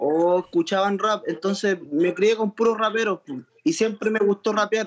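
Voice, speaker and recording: With a Chilean accent, a man speaks fairly slowly at a high pitch with ordinary pitch variation, the sound dry and close with no echo. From Chile (Santiago). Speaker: trap musician. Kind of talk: interview.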